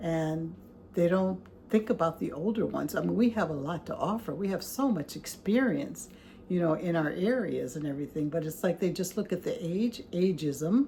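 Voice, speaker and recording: At a moderate pace, a woman speaks at a medium pitch with ordinary pitch variation, a dark, mellow tone and vocal fry. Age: 60s. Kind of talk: casual talk to camera. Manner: conversational, hesitant.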